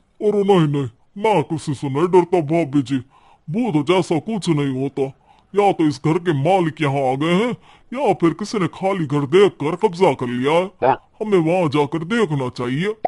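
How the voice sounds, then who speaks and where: A man puts on a cartoonish character voice with a fairly high pitch. The sound is dry and close with no echo, over a quiet background. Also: moderate pace, lively intonation. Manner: confident, matter-of-fact.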